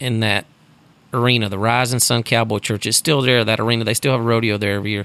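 A man speaks in a Texan accent. His pitch is medium. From Texas, Sugarland near Houston. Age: 40s. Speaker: rodeo announcer. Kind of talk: casual chat. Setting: room by the Gulf of Mexico with door open.

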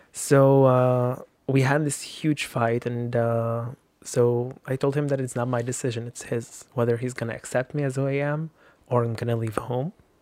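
Speaking in an Arabic accent, a man keeps a medium pitch, a moderate pace and a monotone, flat intonation. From Lebanon. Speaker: activist. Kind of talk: casual chat. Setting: studio. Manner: halting.

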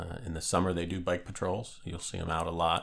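Speaking in an American accent at a moderate pace, the voice keeps a monotone, flat intonation. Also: man. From Northeast Pennsylvania. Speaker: police chief. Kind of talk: interview. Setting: office.

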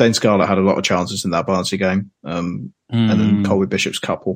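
A man with a Yorkshire accent, a fairly low pitch, ordinary pitch variation and a moderate pace. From Yorkshire, England. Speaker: football podcast guest. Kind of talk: casual football chat.

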